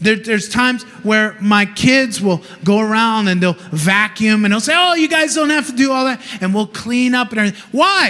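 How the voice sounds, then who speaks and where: A man speaks in a high, raised, projected voice with lively intonation, a passionate tone, and very even loudness over noticeable background noise. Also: moderate pace. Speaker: preacher. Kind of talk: sermon. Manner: loud, passionate.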